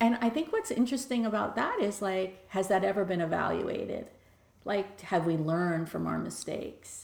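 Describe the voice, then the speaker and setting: A woman with an American accent at a moderate pace, amid noticeable background noise. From Bronx, New York. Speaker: nonprofit leader. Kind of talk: interview.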